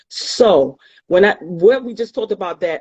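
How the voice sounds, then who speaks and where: A woman talks at a fairly quick pace. She has a New York accent. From New York City, the Bronx. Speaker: tax practitioner and author. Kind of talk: motivational talk in interview. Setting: online live stream.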